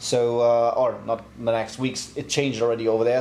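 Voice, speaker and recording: A medium-pitched man with a German accent, with light background noise and audible room echo. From Germany. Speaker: motorsport tuning shop owner. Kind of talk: casual Q&A video. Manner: clear and not too fast. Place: workshop.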